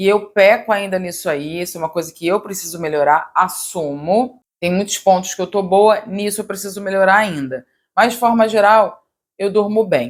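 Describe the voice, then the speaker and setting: Medium female pitch, ordinary pitch variation, and a moderate pace from a woman. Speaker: yoga teacher and wellness youtuber. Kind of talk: casual advice monologue. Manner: direct.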